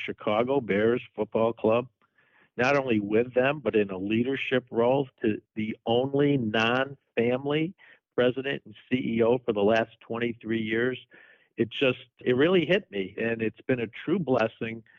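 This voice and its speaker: A man speaks at a fairly slow pace in a normal speaking voice, medium in pitch with ordinary pitch variation. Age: 60s. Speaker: sports team executive. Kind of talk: interview.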